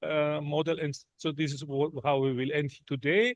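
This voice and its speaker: This man has a non-native accent and a fairly high pitch, speaking at a moderate pace. The sound is dry and close with no echo, over a quiet background. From Germany. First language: not English. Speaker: visiting professor. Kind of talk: lecture. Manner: halting, many fillers and restarts.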